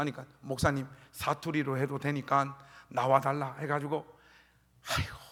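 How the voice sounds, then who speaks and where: Here a man talks at a moderate pace with a fairly high voice. He leaves long, frequent pauses. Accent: Gyeongsang. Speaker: pastor. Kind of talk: sermon. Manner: animated.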